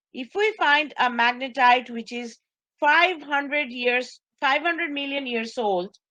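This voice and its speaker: Raising and projecting her high voice, a woman speaks at a fairly slow pace with lively intonation and a bright, sharp tone. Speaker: college instructor. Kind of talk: lecture. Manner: repetitive.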